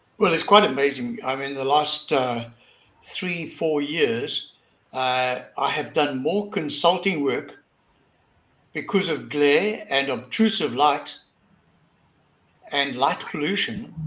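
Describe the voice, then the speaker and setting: A man with a fairly high voice talks very slowly, leaving long, frequent pauses. His pitch moves in an ordinary way, and the room echo is audible. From South Africa. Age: 70s. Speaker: lighting school director, consultant. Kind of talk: panel discussion.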